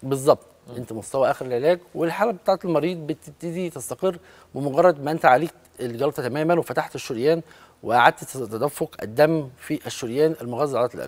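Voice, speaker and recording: A man's fairly high-pitched voice moves at a moderate tempo, its pitch rising and falling in an ordinary way. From Egypt. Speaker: cardiologist; guest. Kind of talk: medical interview. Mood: calm, explanatory. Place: studio. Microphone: lapel.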